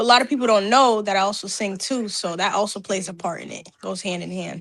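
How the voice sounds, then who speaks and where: Talking at a very fast pace, a woman shows vocal fry and big swings in loudness. Her pitch is medium, with ordinary variation. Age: 20s. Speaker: rapper and singer. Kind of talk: interview.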